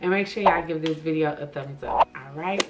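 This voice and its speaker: A woman's very deep, low voice at a fairly quick pace over noticeable background noise. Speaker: beauty vlogger. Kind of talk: tutorial. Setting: at home. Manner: soft-spoken; animated.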